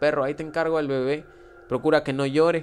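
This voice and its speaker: A man with a fairly high pitch, fairly even intonation and an ordinary speaking voice. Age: 20s. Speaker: tattoo artist. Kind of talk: casual chat.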